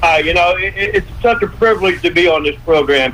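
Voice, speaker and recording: A man with an American accent speaks in a high pitch with ordinary pitch variation. Noticeable background noise is present. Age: 70s. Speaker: health advocate, radio guest. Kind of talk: radio interview. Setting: radio show.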